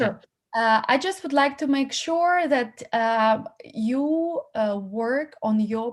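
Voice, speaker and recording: A woman with a non-native accent and a fairly high pitch, very slow, ordinary in pitch variation, against a quiet background. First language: not English. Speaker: casting platform founder. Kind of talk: feedback talk to actors. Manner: halting.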